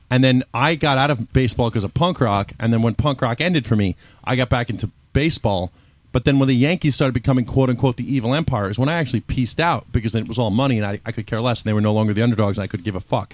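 Talking very fast, a man with an American accent uses a medium pitch and ordinary pitch variation. The sound is dry and close with no echo, and the recording is very clean over a silent background. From Mexican American. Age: 30s. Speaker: podcast guest. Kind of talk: casual chat.

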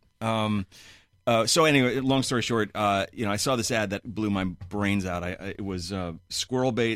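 A man with a New York accent and a fairly low pitch speaks with ordinary pitch variation in a very clean recording with a silent background. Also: moderate pace. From New York City (Flushing, Queens). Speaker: musician. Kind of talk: casual chat. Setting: studio.

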